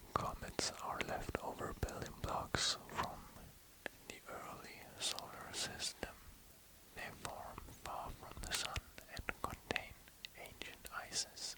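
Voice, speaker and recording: A man whispers at a very slow pace, with long, frequent pauses, big swings in loudness and noticeable background noise. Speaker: ASMR artist. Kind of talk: ASMR sleep reading of space facts. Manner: soft-spoken, whispered.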